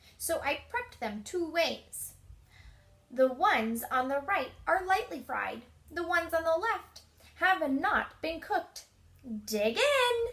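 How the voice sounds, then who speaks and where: Putting on a character voice, a woman talks at a fairly slow pace with an extremely high pitch and very wide pitch swings. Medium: read story.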